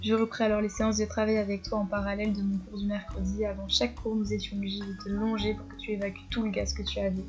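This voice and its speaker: With music playing in the background, a woman talks at a very fast pace. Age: 20s. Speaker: horse rider and vlogger. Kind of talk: scripted narration.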